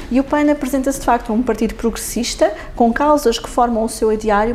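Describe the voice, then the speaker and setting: A woman talks fairly quickly with noticeable noise in the background. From Lisbon, Portugal. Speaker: politician, parliamentary group leader. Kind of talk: interview.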